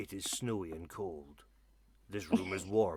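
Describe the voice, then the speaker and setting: A man uses a put-on character voice with a very deep, low pitch. He talks at a fairly slow pace. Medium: actual play. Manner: curt, guarded.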